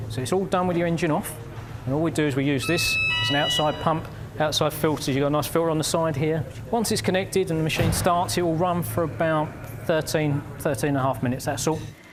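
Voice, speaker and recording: Music plays behind a man talking at a very fast pace. His loudness is very even, with ordinary pitch variation. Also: fairly high pitch for a man. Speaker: garage technician demonstrating the machine. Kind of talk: explaining a process.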